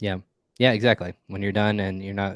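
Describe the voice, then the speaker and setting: Fairly low male pitch on a very clean recording, background silent. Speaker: podcast host. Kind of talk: podcast interview.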